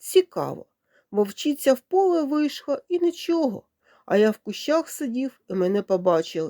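Doing a put-on character voice, a woman sounds gruff and high-pitched, swinging very widely in pitch at a moderate pace in a very clean recording with a silent background. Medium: read story. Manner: gruff, grumbling.

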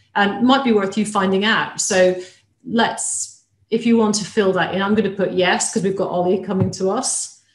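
Somewhat breathy woman's voice at a moderate pace, fairly even intonation, audible room echo and light background noise. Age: 50s. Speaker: equine vet; webinar host. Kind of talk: webinar hosting with Q&A. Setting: live webinar, video call. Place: home room. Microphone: webcam.

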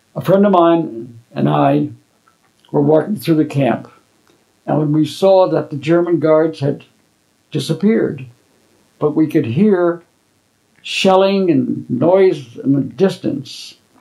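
Against a quiet background, a man with an American accent, a fairly high pitch and a dark, mellow tone talks at a very slow pace with long, frequent pauses and ordinary pitch variation. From Connecticut, US. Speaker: war veteran. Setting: at home, interviewer came over. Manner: halting, with frequent repeated words and filler uh's; vivid storyteller who acts out dialogue and chuckles at memories. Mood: calm storytelling. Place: home room.

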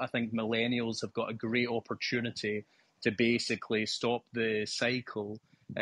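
In a Scottish accent, the speaker uses a bright, sharp tone at a moderate pace, with a dry, close sound, no echo, and a quiet background. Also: man. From Scotland. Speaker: live discussion participant. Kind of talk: casual discussion. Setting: remote call.

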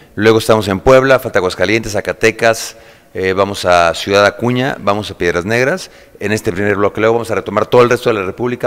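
This man talks at a very fast pace with a fairly low pitch. His intonation stays fairly even. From Mexico, Querétaro; Mexico. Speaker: actor. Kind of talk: interview. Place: hall.

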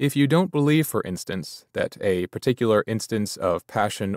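Lively intonation marks this man's plain, everyday voice, delivered at a moderate pace. The recording is very clean, with a silent background. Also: dry, close sound with no echo. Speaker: audiobook narrator. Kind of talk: audiobook reading of a Buddhist book, steady and solemn. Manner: measured, even-paced, formal.

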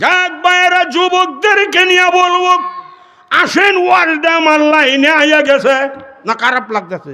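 A raised, projected voice comes through noticeable background noise and audible room echo. Its loudness is very even, and its pitch varies in an ordinary way. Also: man, extremely high pitch for a man. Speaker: Islamic preacher. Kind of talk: humorous sermon.

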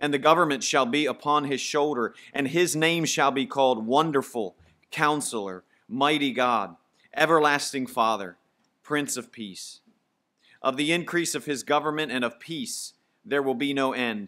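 A man at a moderate pace, bright and sharp in tone, with ordinary pitch variation over a quiet background. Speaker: preacher. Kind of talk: sermon. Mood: calm, solemn. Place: church. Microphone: podium.

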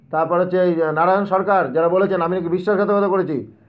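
A man talks at a high pitch with fairly even intonation. Audible room echo surrounds his voice. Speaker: protest organizer and job candidate. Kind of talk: live stream monologue. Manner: impassioned.

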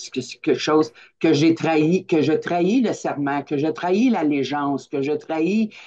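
This woman's voice sits very deep and low, with a dark, mellow tone and ordinary pitch variation. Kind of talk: personal sharing. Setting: video call. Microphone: video call.

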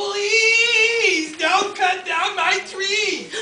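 An extremely high-pitched, put-on character voice comes through. Light background noise and a slight echo accompany it. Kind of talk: dramatic reading of a story character. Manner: pleading.

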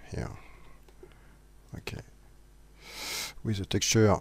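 A man speaks in a monotone with flat intonation and a somewhat breathy voice, recorded very cleanly against a silent background. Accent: non-native. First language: not English. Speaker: 3D modeling tutorial maker. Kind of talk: software tutorial voice-over. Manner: hesitant, many fillers.

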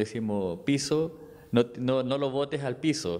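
A man speaks with a Chilean accent. His pace is fairly slow, with ordinary pitch variation. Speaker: dancer; interviewee. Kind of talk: interview. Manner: halting, many repetitions. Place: home room. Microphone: handheld.

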